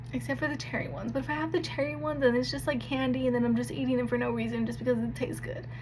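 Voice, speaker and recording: With audible room echo, a soft-spoken woman talks very fast in a very deep, low pitch, hardly pausing and keeping a monotone, flat intonation. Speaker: vlogger sharing health journey. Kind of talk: casual vlog talk. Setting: home nighttime routine on camera. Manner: casual, filler-heavy.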